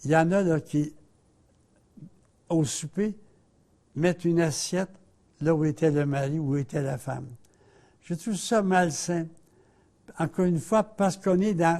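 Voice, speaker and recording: The delivery is very slow, broken by long, frequent pauses. Its tone is dark and mellow, with ordinary pitch variation. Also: man. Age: 80s+. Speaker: religious TV host. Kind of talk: spiritual talk.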